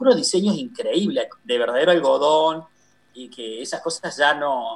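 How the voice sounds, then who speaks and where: A man speaks with a high pitch and very wide pitch swings. His loudness swings widely too. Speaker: visual artist. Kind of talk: interview.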